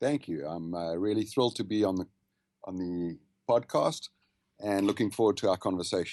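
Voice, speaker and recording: In a South African accent, a man speaks at a moderate pace with a fairly low pitch and ordinary pitch variation. He leaves long, frequent pauses against a quiet background. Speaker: habits and wellness consultant. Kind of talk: podcast interview. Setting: Skype call.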